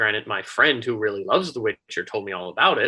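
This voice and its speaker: A man with an American accent and a bright, sharp tone. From Florida. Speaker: app founder and CEO. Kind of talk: podcast interview.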